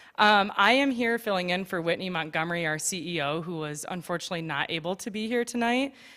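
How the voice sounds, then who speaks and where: A woman speaks very fast at a medium pitch, with a bright, sharp tone and lively intonation. The recording is very clean, with a silent background. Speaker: finance director. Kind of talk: public presentation. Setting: stage with audience. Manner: halting.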